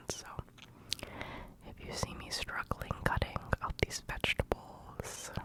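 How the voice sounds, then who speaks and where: A woman whispering at a very slow pace amid noticeable background noise. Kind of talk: ASMR cooking video, casual talk to camera. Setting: binaural microphone, close ear-to-ear recording. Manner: whispered, soft-spoken.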